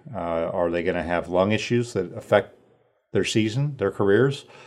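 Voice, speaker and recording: Against a quiet background, a man with an American accent talks at a moderate pace in a fairly low pitch. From Northern California. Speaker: sports writer. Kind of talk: casual interview.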